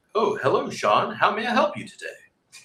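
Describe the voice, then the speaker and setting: A man puts on a robotic character voice at an extremely high pitch, speaking at a moderate pace. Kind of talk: formal, corporate. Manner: polite, scripted.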